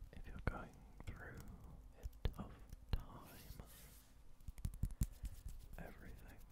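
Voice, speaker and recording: At a very slow pace, a man talks. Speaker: ASMR creator. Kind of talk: ASMR positive affirmations for relaxation and sleep. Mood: calm, reassuring. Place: home room. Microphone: studio mic.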